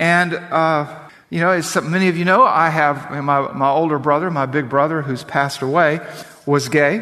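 At a moderate pace, a man with a fairly high pitch and ordinary pitch variation talks in an unremarkable speaking voice. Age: 50s. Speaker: pastor. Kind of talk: sermon. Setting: church.

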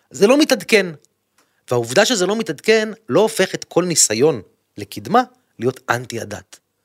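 A man speaks at a high pitch with very wide swings, moving at a moderate pace. He leaves long, frequent pauses, and the sound is dry and close with no echo. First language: English (speaking Hebrew). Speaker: politician. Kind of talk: casual interview. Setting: studio.

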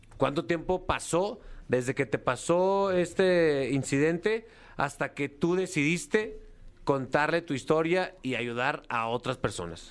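A man with an ordinary speaking voice talks at a fairly slow pace, his pitch fairly high and his intonation lively. The recording is very clean, with a silent background. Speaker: radio host. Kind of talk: casual banter. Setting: radio studio.

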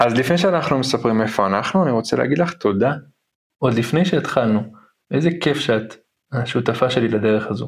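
Speaking at a fairly quick pace, a man with an unremarkable speaking voice keeps a medium pitch and lively intonation. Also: very even loudness. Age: 30s. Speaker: podcast host, travelling parent. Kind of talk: casual chat.

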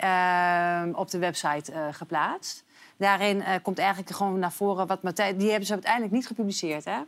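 In a very clean recording with a silent background, a woman with a normal speaking voice speaks at a fairly quick pace, with a medium pitch and fairly even intonation. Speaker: talk show presenter. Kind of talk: live talk show. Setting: studio.

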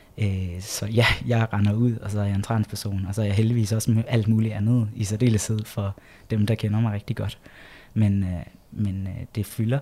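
A man's dark, mellow, somewhat breathy voice at a moderate pace, with monotone, flat intonation, in a very clean recording with a silent background. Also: fairly low pitch for a man. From Jutland, Denmark. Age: 30s. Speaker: LGBT organisation project leader. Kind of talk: interview. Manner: hesitant with frequent fillers.

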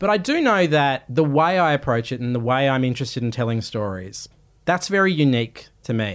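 Speaking in an Australian accent, a man uses lively intonation at a medium pitch and a moderate pace. The recording is very clean, with a silent background. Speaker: podcast and TV presenter, journalist. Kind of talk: interview conversation.

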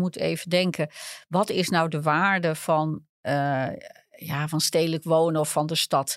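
A woman's fairly low, monotone voice with flat intonation comes at a fairly slow pace, dry and close with no echo, on a very clean recording with a silent background. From Netherlands, small village. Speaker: urban geographer. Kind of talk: interview. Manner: halting.

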